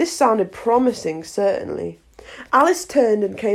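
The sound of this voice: The voice reads without forcing. It is an unforced reading voice.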